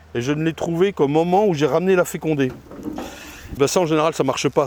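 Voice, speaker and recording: A man speaks at a very fast pace in a fairly high pitch with ordinary pitch variation. There is noticeable background noise. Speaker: beekeeper. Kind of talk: casual vlog commentary while working. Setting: outdoors at apiary. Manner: loud; halting.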